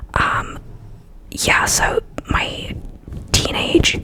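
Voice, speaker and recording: Someone is whispering in a relaxed tone. Noticeable background noise can be heard. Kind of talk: ASMR ramble, personal story told to camera. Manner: soft-spoken, relaxed, chatty.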